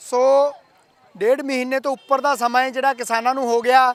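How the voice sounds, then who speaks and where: In a Punjabi accent, a man projects his voice at an extremely high pitch, flat and monotone, in a dry, close recording with no echo. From Punjab, India. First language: Punjabi (speaking Hindi). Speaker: news reporter. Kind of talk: news report intro.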